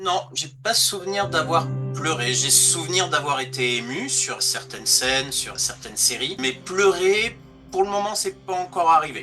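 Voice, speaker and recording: A man speaks at a fairly slow pace in a fairly high pitch, with lively intonation. Music sits in the background. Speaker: voice actor and dubbing director. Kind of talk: interview answer.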